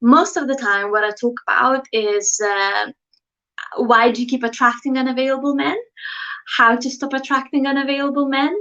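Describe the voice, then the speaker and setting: Here a woman with a Lithuanian accent uses a raised, projected voice at a high pitch. Her tone is bright and sharp, and her pace is moderate. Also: ordinary pitch variation. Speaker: dating coach YouTuber. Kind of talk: livestream talk to viewers. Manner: casual, hesitant with fillers.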